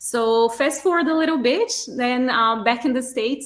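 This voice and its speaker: Speaking at a moderate pace, a woman shows ordinary pitch variation. She has a strong Brazilian accent. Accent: thick Brazilian Portuguese. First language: Portuguese. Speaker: artist, project team member. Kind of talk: interview.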